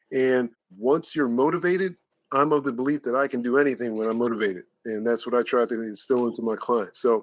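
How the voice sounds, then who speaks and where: In a normal speaking voice, a man talks at a fairly quick pace with ordinary pitch variation, and the sound is dry and close with no echo. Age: 60s. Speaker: personal trainer. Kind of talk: podcast interview.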